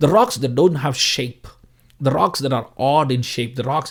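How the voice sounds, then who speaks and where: A man with a Tamil accent. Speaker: preacher. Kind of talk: sermon.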